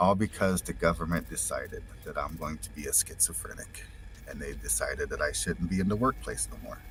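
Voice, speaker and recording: A man with an American accent talks as music plays in the background. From United States. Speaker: stream viewer calling in. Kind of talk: casual chat. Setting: remote call from van over 5G.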